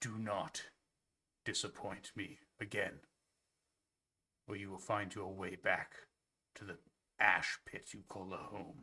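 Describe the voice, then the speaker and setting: Using a put-on character voice, a man speaks raspily at a fairly slow pace and fairly low pitch, with long, frequent pauses. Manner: cold, menacing.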